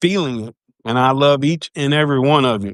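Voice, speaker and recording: A man with a Louisiana accent speaks at a moderate pace and fairly high pitch, with ordinary pitch variation. The sound is dry and close, without echo. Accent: Louisiana Southern. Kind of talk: casual chat. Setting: live stream video call.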